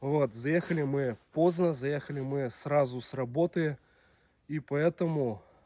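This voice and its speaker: The tone is dark and mellow, and the pace is fairly slow. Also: man. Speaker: video blogger, taiga cabin life. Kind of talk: casual vlog narration. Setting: taiga cabin in the forest.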